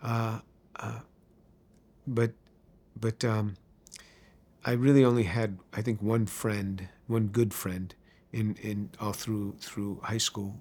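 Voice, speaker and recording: With a New York accent, a man speaks very slowly at a fairly low pitch, leaving long, frequent pauses. His intonation is flat and monotone. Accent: New York American. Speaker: chemistry professor. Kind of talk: testimony. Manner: halting, many fillers.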